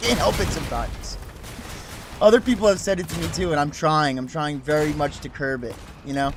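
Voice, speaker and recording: With music in the background, a man with an American accent talks at a fairly quick pace, his fairly high voice carrying lively intonation. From US, New Jersey. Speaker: gaming streamer. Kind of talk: live game stream chat.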